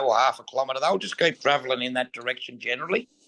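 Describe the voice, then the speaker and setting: With a rural Australian accent, a man talks at a medium pitch in a bright, sharp tone with ordinary pitch variation. The recording is dry and close, without echo. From Australia, western New South Wales. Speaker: stockman and sheepdog trainer. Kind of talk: interview. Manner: casual.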